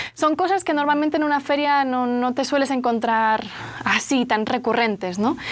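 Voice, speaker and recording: Someone with a Spanish accent speaks at a moderate pace with ordinary pitch variation and very even loudness, with noticeable background noise. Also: woman, high pitch for a woman. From Spain, Barcelona. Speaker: journalist. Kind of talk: interview.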